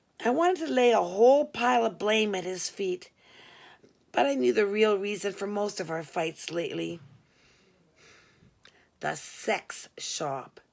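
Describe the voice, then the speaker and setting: A woman's raspy, put-on character voice at medium pitch, swinging very widely in pitch at a moderate pace, on a very clean recording with a silent background. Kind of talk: humorous memoir reading. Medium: read story. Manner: conversational, wry.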